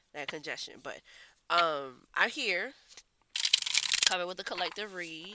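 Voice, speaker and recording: A woman with a fairly low voice talks fairly slowly, her pitch varying in an ordinary way. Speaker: tarot reader. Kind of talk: collective tarot reading.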